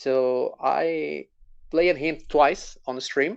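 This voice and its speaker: A man's fairly high voice with a non-native accent, ordinary pitch variation and a quiet background. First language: not English. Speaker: gamer, guest interviewee. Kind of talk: interview. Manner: halting.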